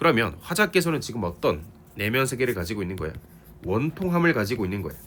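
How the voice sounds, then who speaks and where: Talking at a very fast pace, a man of medium pitch makes very wide pitch swings. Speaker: literature teacher. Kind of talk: lecture. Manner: casual, conversational.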